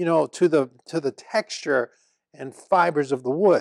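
Against a quiet background, a man talks at a fairly slow pace in a dry sound with no echo. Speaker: woodworking instructor, show host. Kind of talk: tutorial. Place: workshop. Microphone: lapel.

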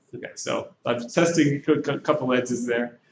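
The pitch varies in an ordinary way. Audible room echo and light background noise are present. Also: man. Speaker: presenter. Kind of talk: informal presentation to an audience. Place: classroom.

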